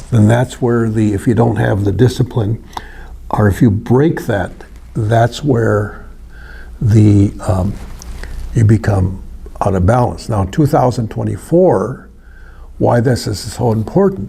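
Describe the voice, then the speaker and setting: A man with an American accent speaks at a fairly slow pace in a fairly low voice, using ordinary pitch variation and long, frequent pauses over noticeable background noise. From northern Wisconsin, Ojibwe community. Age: 70s. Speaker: seminary student. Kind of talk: presentation. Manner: halting.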